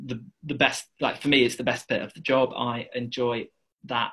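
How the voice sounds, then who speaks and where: With an English accent, a man speaks at a moderate pace and a medium pitch. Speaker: property investor. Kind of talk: interview.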